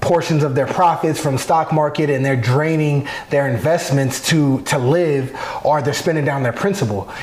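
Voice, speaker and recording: Over noticeable background noise and audible room echo, a man with an American accent speaks at a fairly high pitch and moderate pace, with ordinary pitch variation and very even loudness. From Arizona. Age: 30s. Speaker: professional football player. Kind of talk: interview.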